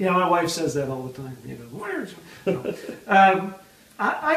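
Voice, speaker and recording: Through noticeable background noise and audible room echo, a man speaks at a high pitch with ordinary pitch variation. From Canada. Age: old. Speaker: author and speaker, comedian. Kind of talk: interview. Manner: rapid fire delivery; animated.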